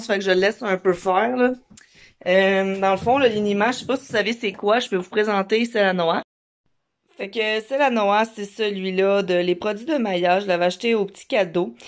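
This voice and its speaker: A woman talks at a moderate pace in a Quebec accent, her pitch varying in an ordinary way. The background is quiet. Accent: Québécois French. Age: 20s. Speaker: mom vlogger. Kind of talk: casual vlog talk to camera. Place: home room. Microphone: phone near.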